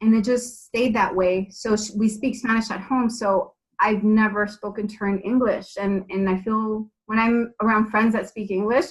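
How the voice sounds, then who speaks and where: A woman speaks at fairly high pitch in a somewhat breathy voice. Her intonation is monotone and flat, at a moderate pace with hardly any pauses. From California, Bay Area (born in Mexico). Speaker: TV and radio host, actress, model. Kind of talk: podcast interview.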